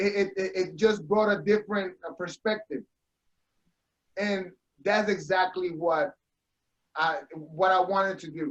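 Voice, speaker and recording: A man talks fairly slowly, with long, frequent pauses. His voice is high for a man and his intonation fairly even. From Puerto Rico, then Jersey City. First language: Spanish. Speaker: veteran and author. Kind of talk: casual chat. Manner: halting.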